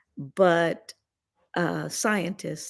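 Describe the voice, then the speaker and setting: Vocal fry runs through a woman's fairly low voice. The recording is very clean, with a silent background. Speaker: gem and mineral class teacher. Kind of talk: lecture. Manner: casual, conversational.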